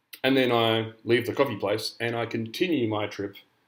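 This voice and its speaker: A man with a medium-pitched voice talks at a fairly quick pace, his intonation fairly even. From Canada, British parents. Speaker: university lecturer. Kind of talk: lecture. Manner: casual, with frequent fillers.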